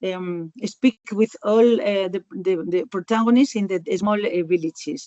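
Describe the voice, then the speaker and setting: A woman with a Spanish accent, medium pitch and ordinary pitch variation. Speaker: rural community worker. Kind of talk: webinar panel answer. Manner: halting.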